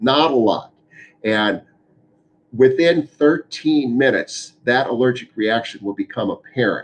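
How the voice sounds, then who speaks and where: Here is a man with an unremarkable speaking voice at a medium pitch. He talks at a moderate pace. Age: 60s. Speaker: physician. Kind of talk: town hall Q&A explanation.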